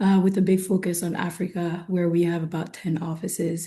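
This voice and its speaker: The voice is a woman's, somewhat breathy. Its tone is dark and mellow. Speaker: investment firm executive. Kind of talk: webinar panel discussion.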